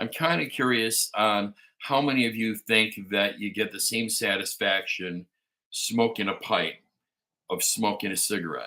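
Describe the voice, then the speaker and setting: A man with a Chicago accent talks at medium pitch with ordinary pitch variation. His tone is bright and sharp, his pace moderate. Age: 50s. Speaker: pipe-smoking livestream host. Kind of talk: casual live chat. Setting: living room livestream.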